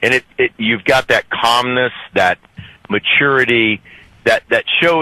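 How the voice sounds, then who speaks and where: A man with an American accent and medium pitch talks at a fairly slow pace, his tone bright and sharp. His intonation is lively, and the sound is dry and close with no echo. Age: 60s. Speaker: caller. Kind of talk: radio call-in. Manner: halting.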